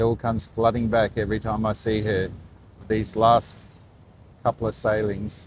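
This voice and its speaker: Quiet and fairly low-pitched, a man speaks with an Australian accent at a moderate pace. His intonation is monotone and flat, broken by long, frequent pauses. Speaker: live stream vlogger. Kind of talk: live stream commentary. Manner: quiet, subdued.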